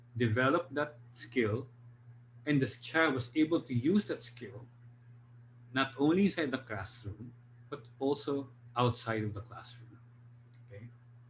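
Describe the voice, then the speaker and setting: Speaking at a fairly slow pace, a man with a somewhat breathy, medium-pitched voice shows ordinary pitch variation, big swings in loudness, and long, frequent pauses. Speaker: drama teacher giving a presentation. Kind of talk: online presentation.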